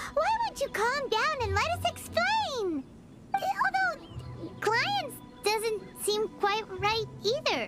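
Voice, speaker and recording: A squeaky, cartoonish character voice at an extremely high pitch drags along at a very slow pace, with faint music in the background. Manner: excitable, blunt.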